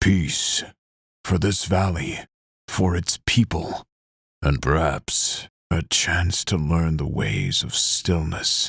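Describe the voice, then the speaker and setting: A man puts on a character voice that is rumbling and very deep, low in pitch. He speaks at a very slow pace with long, frequent pauses. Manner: low, rumbling.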